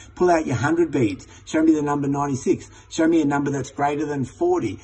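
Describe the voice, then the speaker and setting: A man speaks very fast at a fairly high pitch. Noticeable background noise runs behind him. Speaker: teacher trainer. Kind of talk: tutorial.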